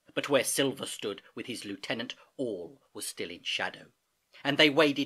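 Someone is reading aloud in a natural voice with lively intonation, over a quiet background.

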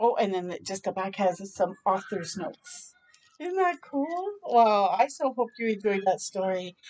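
With big pitch swings, a woman speaks at a fairly slow pace in a medium pitch. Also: slightly mellow tone.

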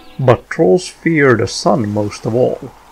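A man's voice with lively intonation over music in the background. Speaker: narrator. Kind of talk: folklore documentary narration.

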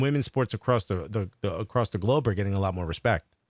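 A man with a New York accent talks at a very fast pace with ordinary pitch variation. The sound is dry with no echo, over a quiet background. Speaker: comedian and podcast host; podcast host. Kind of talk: casual interview. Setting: video call. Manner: joking. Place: home room. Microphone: studio mic.

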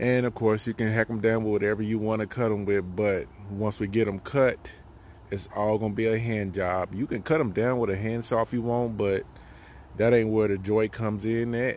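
There is light background noise and a dry sound with no echo. A man speaks at a moderate pace in a fairly low, monotone, flat voice. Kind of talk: casual tutorial. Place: forest. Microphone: phone near.

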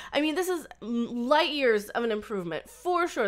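Against a quiet background, a woman's high voice swings very widely in pitch. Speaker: fan commentator. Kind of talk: casual vlog commentary. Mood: torn, mildly critical. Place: home room. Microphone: webcam.

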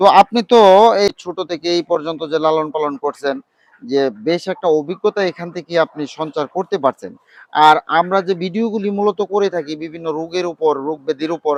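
The speaker is a man with a high pitch. The background is quiet. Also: ordinary pitch variation. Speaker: poultry farm owner and YouTube farm channel host. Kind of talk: on-location farm interview and advice. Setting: outdoors at a poultry farm.

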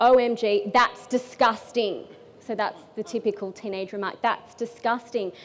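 Fairly high-pitched female speech, moderately paced and fairly even in intonation. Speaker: spoken word artist, poet and storyteller. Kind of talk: casual stand-up-style talk to an audience. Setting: live talk on stage to an audience, early morning event. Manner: conversational, humorous, hesitant with some repeated words. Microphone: headset.

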